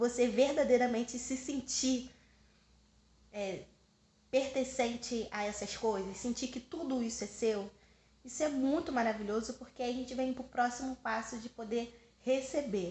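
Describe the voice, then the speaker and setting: Her voice sits high for a woman, and her intonation stays fairly even. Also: fairly slow pace. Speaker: spiritual vlogger. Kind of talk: personal vlog monologue.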